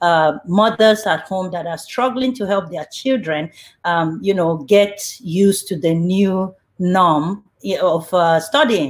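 A woman's fairly low-pitched voice with ordinary pitch variation at a fairly slow pace. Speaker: show host. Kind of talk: talk show introduction. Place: home room. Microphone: webcam.

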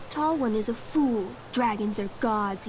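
Over loud background noise, a woman growls in a put-on character voice at a fairly high pitch and a fairly slow pace. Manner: growling, arrogant.

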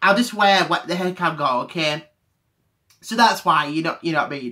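Against a quiet background, a raised, projected voice comes through with a bright, sharp tone. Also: man. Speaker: vlogger. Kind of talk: casual vlog chat. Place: home room. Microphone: webcam.

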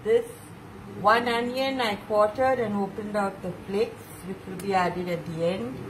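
A woman talks at a fairly slow pace with ordinary pitch variation. Light background noise sits behind her. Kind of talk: tutorial. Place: kitchen. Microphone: phone near.

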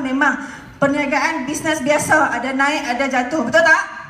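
In a room with audible echo, a woman raises and projects her high-pitched voice, keeping a moderate pace and fairly even intonation. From Malaysia. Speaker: direct-selling entrepreneur; speaker. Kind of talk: motivational stage talk. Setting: stage with audience. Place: hall.

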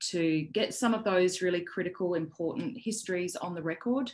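Moderately paced speech from a woman, fairly low in pitch. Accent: Australian. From South Australia. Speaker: poet and academic. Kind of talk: panel presentation. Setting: video call.

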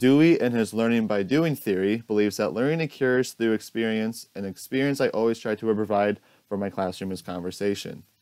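Against a quiet background, a man speaks at a fairly quick pace with hardly any pauses and ordinary pitch variation. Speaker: student teacher. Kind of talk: recorded presentation. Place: home room. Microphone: earbuds.

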